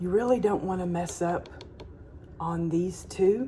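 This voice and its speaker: A woman with a Southern US accent speaks very slowly at a medium pitch. Her intonation is fairly even, and background noise is noticeable. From Alabama. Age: middle-aged. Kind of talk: casual cooking tutorial to camera.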